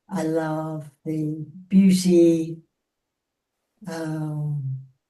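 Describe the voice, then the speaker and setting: With a dark, mellow tone, a woman speaks at a very deep, low pitch in monotone, flat intonation. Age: 80s+. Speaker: book group participant. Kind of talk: casual chat. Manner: halting.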